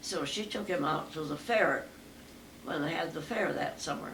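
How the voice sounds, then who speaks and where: A woman with an American accent speaks at a moderate pace. Background noise is noticeable. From New Mexico, USA. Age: 80s+. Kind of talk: interview answer.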